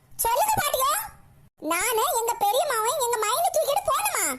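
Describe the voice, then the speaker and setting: A cartoonish character voice from a woman, squeaky and extremely high-pitched, with lively intonation at a fairly slow pace. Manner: blunt, indignant.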